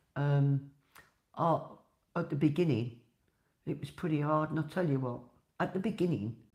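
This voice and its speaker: With a Birmingham accent, a woman speaks at a very deep, low pitch. She leaves long, frequent pauses. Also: ordinary pitch variation, moderate pace. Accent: Brummie. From Birmingham, England. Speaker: podcaster and dog wheelchair advocate. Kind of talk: casual monologue podcast. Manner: chatty, conversational.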